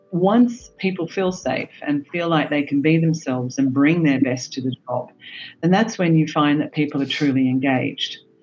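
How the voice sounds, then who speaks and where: A woman speaks with an Australian accent and a very deep, low pitch. Her pace is moderate and her pitch varies in an ordinary way. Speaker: HR executive. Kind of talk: panel discussion. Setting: video call.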